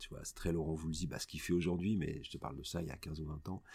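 Talking fairly quickly, a man uses a very deep, low pitch. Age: 50s. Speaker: radio host. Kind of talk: casual chat. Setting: studio.

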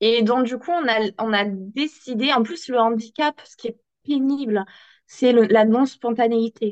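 The voice moves at a very slow pace, with ordinary pitch variation and big swings in loudness. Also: woman, fairly high pitch for a woman. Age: 20s. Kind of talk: interview.

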